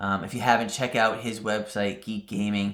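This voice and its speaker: A man with a New England accent, fairly low pitch, and a fairly quick pace. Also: very clean recording, silent background. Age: 40s. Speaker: crafting YouTuber. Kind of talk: casual Q&A monologue. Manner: casual with frequent fillers.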